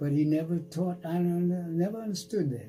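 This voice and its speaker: A man with an American accent, a dark, mellow, somewhat breathy tone, a moderate pace, and ordinary pitch variation. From Washington, D.C. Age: 90s. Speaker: World War II veteran, Tuskegee Airman. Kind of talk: interview answer.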